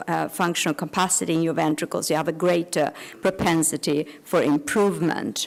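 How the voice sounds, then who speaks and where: Her voice is fairly low for a woman, with vocal fry. The intonation stays fairly even. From Sweden. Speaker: cardiologist. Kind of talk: lecture. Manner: halting.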